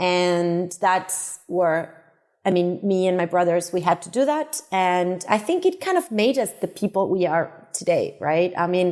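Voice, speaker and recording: This woman speaks with a Spanish accent. Her pace is fairly slow. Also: medium pitch for a woman, ordinary pitch variation, very even loudness. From Uruguay, then Barcelona from age 14. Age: 30s. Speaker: tech startup co-founder. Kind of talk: podcast interview. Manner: hesitant repetitions.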